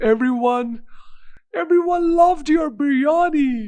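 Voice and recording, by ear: A cartoonish character voice, high in pitch.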